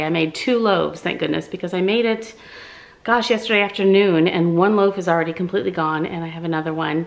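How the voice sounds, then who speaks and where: The woman's pitch moves in an ordinary way. She talks fairly quickly. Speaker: home vlogger. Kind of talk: casual vlog chat. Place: home room. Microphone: phone near.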